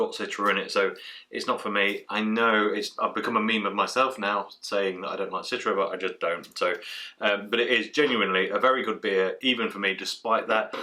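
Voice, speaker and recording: Over a quiet background, a man speaks very fast. He has an English accent. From England. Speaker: beer reviewer. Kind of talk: casual review vlog. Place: home room.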